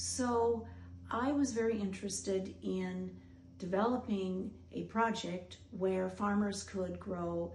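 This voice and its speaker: A woman with an American accent speaks at a very slow pace. Room echo is audible. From US Midwest. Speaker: doctor and researcher hosting a documentary. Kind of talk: scripted narration.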